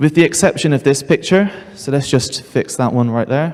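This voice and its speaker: In a British accent, a man speaks at a fairly quick pace. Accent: very British. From United Kingdom. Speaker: seminar presenter. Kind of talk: conference presentation. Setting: stage with audience.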